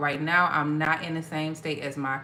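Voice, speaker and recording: A woman with an American accent talks over noticeable background noise, and audible room echo can be heard. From Ohio, US Midwest. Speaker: tarot reader. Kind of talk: live stream chat. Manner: casual, hesitant with fillers.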